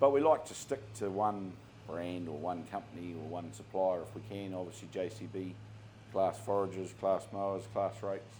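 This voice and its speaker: A man with a very deep, low pitch, a New Zealand accent, ordinary pitch variation and a moderate pace. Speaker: contracting business owner. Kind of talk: interview. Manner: halting.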